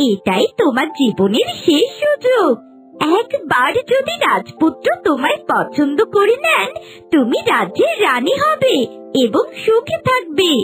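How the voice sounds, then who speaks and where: Against clear background music, a cartoonish character voice speaks at a fairly slow pace with extremely high pitch. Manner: warm, encouraging.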